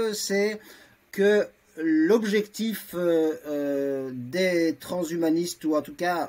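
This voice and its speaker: At a very slow pace, a man speaks in a high voice with ordinary pitch variation. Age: 60s. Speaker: transhumanist association vice-president, lawyer. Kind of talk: debate interview. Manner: halting, many hesitations.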